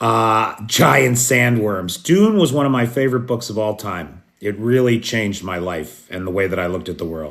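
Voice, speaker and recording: A man's normal speaking voice with an American accent, fairly low pitch, lively intonation and a moderate pace. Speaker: news commentator broadcasting live from Kyiv. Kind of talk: live news update to chat viewers. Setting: recorded at midnight in Kyiv.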